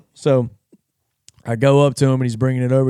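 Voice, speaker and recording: A man speaks in a Louisiana accent at a medium pitch. The sound is dry and close, with no echo. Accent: Southern US (Louisiana). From North Louisiana. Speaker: podcast host. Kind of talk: casual chat.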